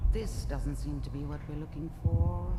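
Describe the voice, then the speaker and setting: Over loud background noise, a put-on character voice speaks at a moderate pace. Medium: video game. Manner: calm, precise.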